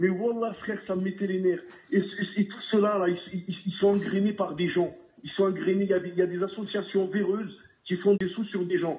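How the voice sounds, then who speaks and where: With noticeable background noise behind him, a man speaks at a moderate pace in a high pitch with flat, monotone intonation. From southern France. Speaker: caller. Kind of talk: heated call-in discussion. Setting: phone call. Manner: halting, repeats words.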